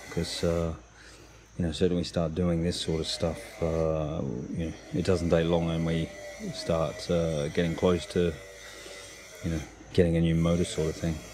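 With long, frequent pauses, a man with a very deep, low voice talks at a moderate pace in a flat monotone, over noticeable background noise. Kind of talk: tutorial. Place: boat. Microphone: phone near.

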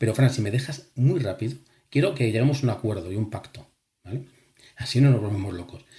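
A somewhat breathy man with a medium pitch and lively intonation is captured on a very clean recording with a silent background. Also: fairly quick pace. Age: 40s. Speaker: engineer and lucid dreaming author and instructor. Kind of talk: casual chat.

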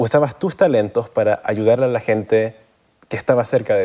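A man with a dark, mellow tone speaks at a moderate pace against a quiet background. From US, raised partly in Chile and Canada. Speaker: dental school student; guest. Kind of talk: interview. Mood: warm, earnest, smiling. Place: studio.

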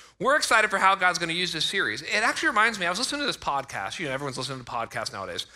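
Over a quiet background, a man speaks at a very fast pace in a raised, projected voice with very wide pitch swings. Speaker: pastor. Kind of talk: sermon. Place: church. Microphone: headset.

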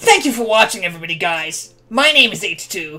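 Someone puts on a character voice at a middle pitch and a moderate pace. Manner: upbeat, exaggerated.

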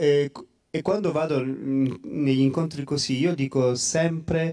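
A dark, mellow tone at a very slow pace over a quiet background. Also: man. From Calabria, Italy. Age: 40s. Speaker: priest; priest guest speaker. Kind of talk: testimony. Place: hall. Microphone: handheld.

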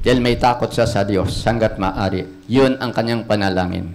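The tone is animated. The pace is moderate. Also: man. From Philippines. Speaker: preacher. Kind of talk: sermon. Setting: church. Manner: animated, call-and-response, repeatedly asking 'Amen?' and urging applause; earnest, exhortative, plain-spoken. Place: church. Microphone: handheld.

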